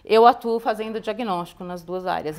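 A woman with ordinary pitch variation and a fairly high pitch talks at a fairly quick pace. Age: 50s. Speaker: cardiologist; guest. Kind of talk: interview. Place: studio. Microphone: lapel.

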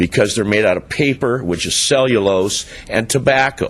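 A man with an unremarkable speaking voice at a fairly slow pace, with lively intonation. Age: 60s. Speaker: public commenter at council meeting. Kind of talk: public comment speech.

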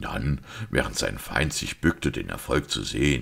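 A quiet, put-on character voice with vocal fry, a slightly husky edge and a fairly bright tone, at a fairly slow pace. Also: man.

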